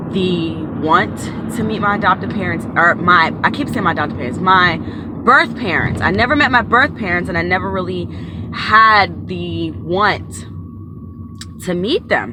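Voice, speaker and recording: A woman with an American accent speaks at a moderate pace with long, frequent pauses, amid audible room echo and noticeable background noise. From Maryland, US. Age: 30s. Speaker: YouTuber and tarot reader. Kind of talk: personal storytelling vlog. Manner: casual, with frequent fillers.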